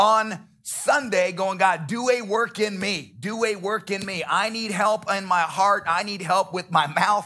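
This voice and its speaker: Over music in the background, a man speaks at a fairly slow pace in a raised, projected voice with ordinary pitch variation. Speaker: pastor. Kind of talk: sermon. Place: church. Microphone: headset.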